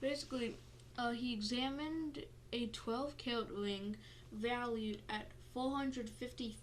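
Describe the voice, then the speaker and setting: A woman speaks at a high pitch and a fairly slow pace. Audible echo fills the room. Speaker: podcast host. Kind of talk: reading aloud; casual chat. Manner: halting.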